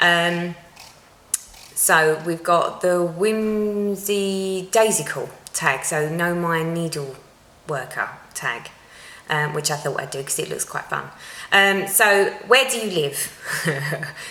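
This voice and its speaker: A woman with an Essex accent at a very slow pace and fairly low pitch, with long, frequent pauses, audible room echo, and noticeable background noise. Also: ordinary pitch variation. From Essex, England. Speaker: cross-stitch vlogger. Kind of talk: casual vlog talk to viewers. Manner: chatty, frequent ums.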